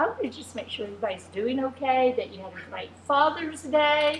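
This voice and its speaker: There is noticeable background noise. A woman with an American accent speaks at a moderate pace. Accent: Southern US accent, comes out now and then. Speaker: pastor's wife. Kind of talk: casual chat.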